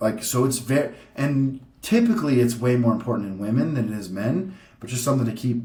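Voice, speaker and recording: A man with a somewhat breathy, medium-pitched voice speaks at a fairly quick pace. Audible room echo surrounds him. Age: 30s. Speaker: bodybuilder vlogger. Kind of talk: casual educational vlog presentation. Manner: casual, filler-heavy.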